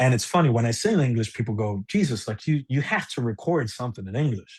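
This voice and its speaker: Somewhat breathy speech races along at a very fast pace with lively intonation. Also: man, medium pitch for a man. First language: Spanish. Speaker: musician. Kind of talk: casual chat. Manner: halting.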